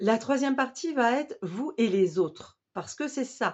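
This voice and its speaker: A woman is speaking. Her pitch swings very widely. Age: 40s. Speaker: special educator and wellbeing coach. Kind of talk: course promo talk to camera. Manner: halting, many fillers.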